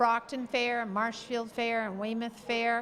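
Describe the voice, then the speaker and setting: A woman with a New England accent and a high pitch speaks at a moderate pace. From Massachusetts (Carver area). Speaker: youth center board chair. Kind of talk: casual interview.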